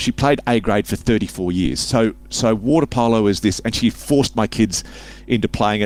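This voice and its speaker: Speaking at a fairly quick pace with an Australian accent, a man uses a fairly low pitch, some vocal fry and ordinary pitch variation. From Sydney, Australia. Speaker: author and public speaker. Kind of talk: casual interview chat.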